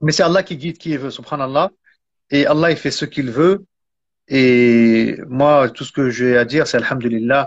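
A man with an unremarkable speaking voice talks at a fairly high pitch and moderate pace. His pitch varies in an ordinary way, while his loudness swings widely. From France. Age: 40s. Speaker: Islamic teacher and author. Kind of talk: interview. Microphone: phone held by hand, mic unplugged.

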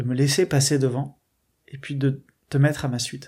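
Over a very clean recording with a silent background, a man speaks at a moderate pace in a fairly high pitch with monotone, flat intonation. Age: 20s. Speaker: catechumen sharing faith testimony. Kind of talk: testimony. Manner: halting, many hesitations.

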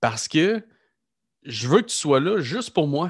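Against a quiet background, a man with a fairly high pitch talks at a fairly slow pace in a dry, close sound with no echo. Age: 30s. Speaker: podcast host, entrepreneur. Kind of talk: casual interview conversation.

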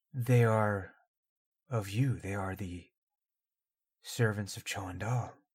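In a put-on character voice, a man speaks fairly slowly at a fairly low pitch, leaving long, frequent pauses. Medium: actual play. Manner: slow, formal, solemn.

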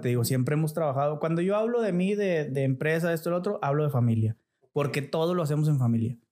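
The pitch moves in an ordinary way. It belongs to a plain, everyday voice. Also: man. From Nuevo León, Mexico (Montemorelos). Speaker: businessman. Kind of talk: casual interview.

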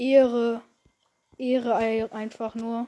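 A woman's high-pitched voice. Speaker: gaming YouTuber. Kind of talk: live gameplay commentary. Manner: animated.

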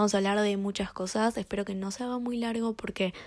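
Her voice is fairly high and her intonation fairly even, in a very clean recording with a silent background. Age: young. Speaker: podcast host. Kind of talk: solo podcast monologue. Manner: casual, with filler repetitions.

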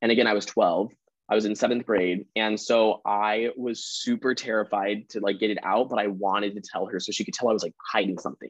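The sound is dry and close, with no echo. A man with a General American accent talks in a fairly low voice. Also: fairly even intonation, fairly quick pace. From Colorado, US. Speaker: university student. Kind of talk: casual chat.

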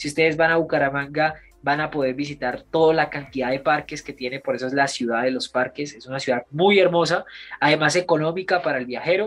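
Over background music, a man with a fairly high voice talks fairly quickly, his loudness swinging widely while his pitch varies in an ordinary way. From Colombia, Bogotá. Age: 20s. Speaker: actor. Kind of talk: casual interview.

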